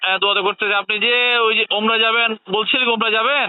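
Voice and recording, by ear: This man has a high pitch and a clear, smooth tone. His intonation is fairly even and his pace fairly quick.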